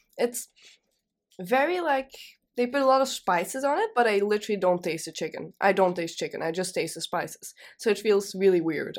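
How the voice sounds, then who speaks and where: In a very clean recording with a silent background, a woman with a plain, everyday voice speaks at a fairly quick pace with ordinary pitch variation. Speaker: student radio presenter. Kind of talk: casual chat. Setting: studio.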